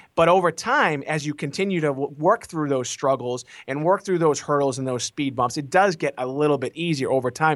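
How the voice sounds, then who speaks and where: A man's ordinary speaking voice in an American accent, fairly high in pitch with ordinary pitch variation, at a fairly quick pace, in a very clean recording with a silent background and a dry, close sound with no echo. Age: 40s. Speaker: author and marketing company CEO. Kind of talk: interview.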